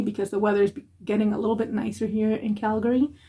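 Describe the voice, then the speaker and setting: A woman's fairly high, somewhat breathy voice with a dark, mellow tone and a non-native accent. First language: not English. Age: 40s. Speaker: makeup vlogger. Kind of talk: makeup tutorial. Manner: rambling, casual.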